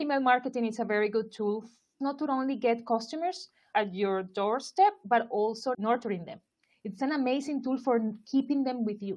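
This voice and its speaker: Speaking with a Spanish accent, a woman's voice sits fairly high. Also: ordinary pitch variation, moderate pace. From Colombia, Barranquilla. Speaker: marketing expert. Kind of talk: interview.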